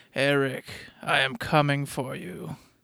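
Putting on a booming character voice at a medium pitch, a man speaks fairly slowly. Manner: menacing, threatening.

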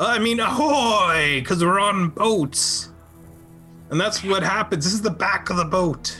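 Clear music plays in the background behind a put-on character voice. The delivery moves at a fairly slow pace. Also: man, high pitch for a man. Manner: friendly, slightly awkward.

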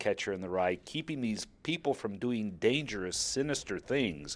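On a very clean recording with a silent background, a man with an American accent uses an unremarkable speaking voice at a medium pitch, moving at a moderate pace with lively intonation. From US South. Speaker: personal essayist. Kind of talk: reading aloud a personal essay.

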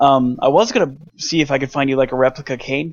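This man's voice sits at a fairly high pitch. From US South (North Georgia). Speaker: photographer. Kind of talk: casual chat.

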